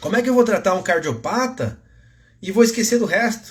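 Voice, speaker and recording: Lively intonation carries a man's extremely high-pitched voice. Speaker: physiotherapist and fitness educator. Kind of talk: live-stream lecture. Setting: Instagram live stream. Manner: gets louder when excited.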